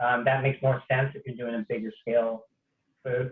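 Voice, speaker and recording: A man is talking. His voice stays at a medium pitch. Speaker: chef. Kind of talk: cooking demonstration. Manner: fast; casual, many fillers.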